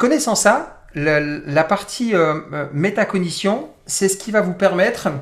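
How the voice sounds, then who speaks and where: A man talks at a high pitch. His pitch varies in an ordinary way. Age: 40s. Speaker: personal development coach. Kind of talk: interactive webinar talk.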